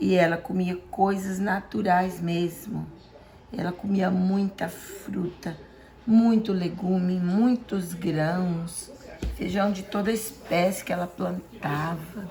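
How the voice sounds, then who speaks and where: With noticeable background noise, a woman of medium pitch speaks very slowly in a fairly even intonation. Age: 60s. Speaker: home cook. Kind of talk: cooking tutorial.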